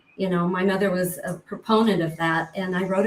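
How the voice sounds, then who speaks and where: A woman with an American accent speaks at a medium pitch and a moderate pace. Noticeable background noise runs underneath. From US rural ranching community. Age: 70s. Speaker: author and abuse survivor. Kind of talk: interview testimony.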